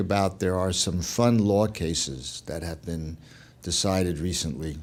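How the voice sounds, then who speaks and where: The voice has an American accent and a dark, mellow tone, with ordinary pitch variation at a moderate pace. Audible room echo surrounds it. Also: man. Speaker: music copyright lawyer, lecturer. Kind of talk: lecture.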